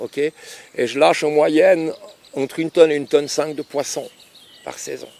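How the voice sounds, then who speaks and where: Over noticeable background noise, yet with a dry, close sound with no echo, a man with a fairly high pitch speaks at a moderate pace in monotone, flat intonation with long, frequent pauses. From Switzerland, Lausanne. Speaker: fishing lake owner. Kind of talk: casual interview.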